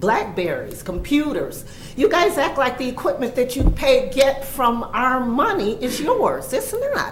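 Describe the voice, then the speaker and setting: In a room with audible echo and noticeable background noise, a woman speaks fairly slowly in a high pitch, her animated tone swinging very widely in pitch. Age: 60s. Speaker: retired resident speaking at public comment. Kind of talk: public comment at a board meeting. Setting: township board meeting room.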